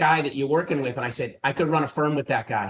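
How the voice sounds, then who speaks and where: This man speaks in a Boston accent. His pitch sits fairly high. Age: 50s. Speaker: private equity investor. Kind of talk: interview.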